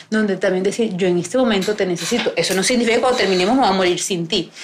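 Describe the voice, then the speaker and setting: The speaker has a coastal Colombian accent and ordinary pitch variation. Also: woman. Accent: Colombian coastal (costeño) Spanish. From Colombian Caribbean coast, Barranquilla. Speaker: podcast host. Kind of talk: live recorded conversation before an audience. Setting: bookstore with live audience.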